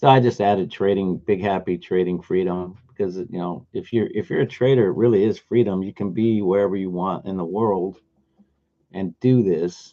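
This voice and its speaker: The man's voice has a dark, mellow tone. His pitch sits fairly low. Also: fairly even intonation, moderate pace. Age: 60s. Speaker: day trader and trading teacher. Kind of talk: live trading stream chat. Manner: casual, conversational with fillers.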